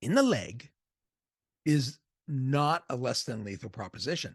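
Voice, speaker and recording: The voice is somewhat breathy. The sound is dry and close, with no echo. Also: man. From US Northeast, Boston area. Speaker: movie reviewer. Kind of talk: casual video review. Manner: conversational.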